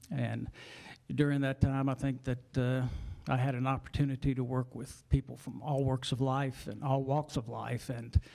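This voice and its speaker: A man's medium-pitched voice with monotone, flat intonation. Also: moderate pace. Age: 60s. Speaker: political candidate, retired police officer. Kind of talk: candidate opening statement. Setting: town hall chamber with audience.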